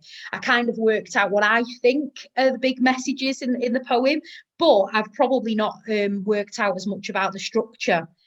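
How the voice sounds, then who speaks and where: A woman with a northern English accent at a fairly quick pace. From northern England. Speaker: teacher and podcast host. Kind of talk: casual chat.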